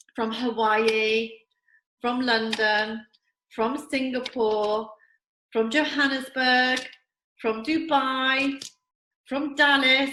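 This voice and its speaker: Speaking in an English accent at a very slow pace with long, frequent pauses, a woman uses a high pitch and a bright, sharp tone. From England. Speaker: network marketing distributor. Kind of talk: recorded presentation video. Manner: enthusiastic.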